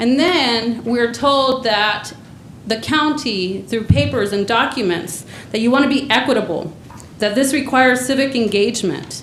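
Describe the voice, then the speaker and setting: A woman at a fairly high pitch with ordinary pitch variation and a moderate pace, amid noticeable background noise and audible room echo. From Mexico. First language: Spanish. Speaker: community organizer / public commenter. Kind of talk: public comment at government meeting. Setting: county board meeting chamber. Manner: impassioned, direct.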